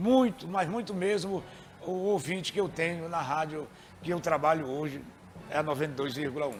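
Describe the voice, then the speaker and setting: Lively intonation from a man at a fairly high pitch and moderate pace, over noticeable background noise. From Maranhão, Brazil. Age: 60s. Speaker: radio presenter. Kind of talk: interview.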